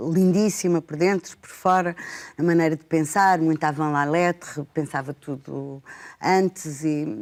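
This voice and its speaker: A woman speaks at a fairly slow pace with ordinary pitch variation. The recording is very clean, with a silent background. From Portugal, Lisbon. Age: 60s. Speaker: educator and book lover. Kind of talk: TV talk show conversation. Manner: halting, many fillers.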